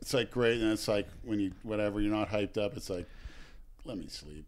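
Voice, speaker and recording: A man with an American accent speaks at a fairly low pitch with vocal fry. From Oakmont, US. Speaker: podcast co-host and video creator. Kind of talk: casual chat.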